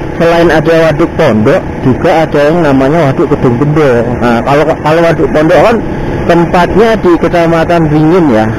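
Recorded with a dry sound and no echo, a man speaks over noticeable background noise. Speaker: motovlogger. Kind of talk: casual vlog chat. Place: motorbike. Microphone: helmet.

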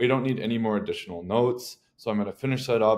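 A man talks with a fairly low pitch. Nothing stirs in the background. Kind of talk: tutorial. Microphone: webcam.

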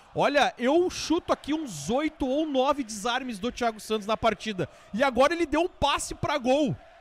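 With an extremely high pitch and lively intonation, a man talks with hardly any pauses in a dry sound with no echo. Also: moderate pace. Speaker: sports radio commentator. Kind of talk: live sports reaction after a goal, chatty and opinionated. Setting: live stream. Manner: animated. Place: studio. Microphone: handheld.

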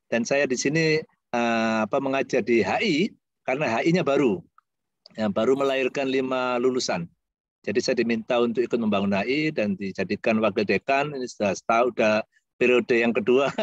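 A man talks at a fairly quick pace with ordinary pitch variation. The sound is dry with no echo, over a quiet background. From Indonesia. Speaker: university lecturer. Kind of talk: guest lecture over video call. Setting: video call. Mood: warm, jovial. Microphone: video call.

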